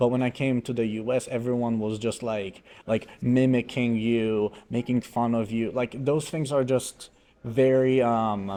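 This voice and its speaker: With a dark, mellow tone, a man speaks at medium pitch and a fairly slow pace in a monotone, flat way. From Poland. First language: Polish. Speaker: podcast co-host. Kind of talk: casual chat. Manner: halting.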